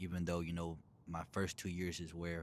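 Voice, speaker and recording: A man speaks with a very deep, low pitch and an American accent. The recording is very clean, with a silent background. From Texas, Dallas suburbs. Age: 20s. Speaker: bodybuilder vlogger. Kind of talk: casual vlog self-introduction.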